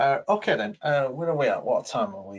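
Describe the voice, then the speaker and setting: A man's somewhat breathy voice, fairly high in pitch, with lively intonation at a moderate pace. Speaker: webinar facilitator. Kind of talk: webinar Q&A. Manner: hesitant, many fillers.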